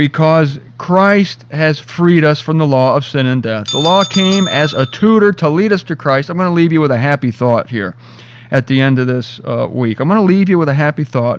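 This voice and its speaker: This man talks at a moderate pace. His pitch sits fairly high, with ordinary variation. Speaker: bible teacher. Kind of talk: radio talk show. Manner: animated.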